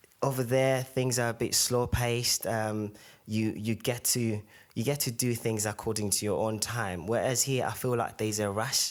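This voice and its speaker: In a Zimbabwean accent, a man speaks at medium pitch with monotone, flat intonation. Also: moderate pace, very even loudness. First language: Shona. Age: young. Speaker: podcast guest. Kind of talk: casual interview. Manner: hesitant, many fillers.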